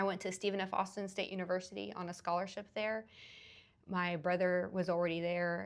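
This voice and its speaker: A woman's ordinary speaking voice, fairly low in pitch, at a moderate pace with fairly even intonation. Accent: American. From US South, Rio Grande Valley, South Texas. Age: 40s. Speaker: attorney. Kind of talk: interview.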